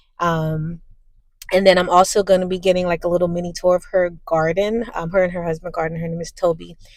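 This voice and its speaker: A woman's fairly low voice at a very fast pace, fairly even in intonation but with big swings in loudness. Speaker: vlogger. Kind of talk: casual vlog. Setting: in a parked car.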